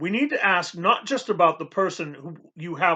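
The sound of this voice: Lively intonation in an unforced reading voice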